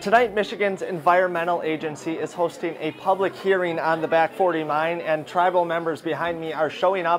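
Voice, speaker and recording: A man's high voice at a fairly quick pace with hardly any pauses, fairly even intonation and light background noise. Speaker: TV news reporter. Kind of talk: news report. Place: street.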